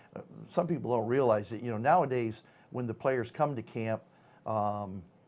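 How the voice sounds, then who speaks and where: A man talks at a medium pitch and a moderate pace, with ordinary pitch variation. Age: 50s. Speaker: retired football player. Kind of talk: interview. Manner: hesitant, many fillers.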